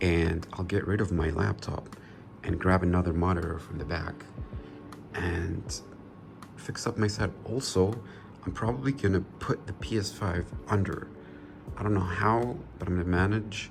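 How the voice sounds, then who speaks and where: Over background music, a man with a very deep, low pitch speaks with long, frequent pauses. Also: ordinary pitch variation, moderate pace. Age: 20s. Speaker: gaming youtuber. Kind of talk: casual vlog talk.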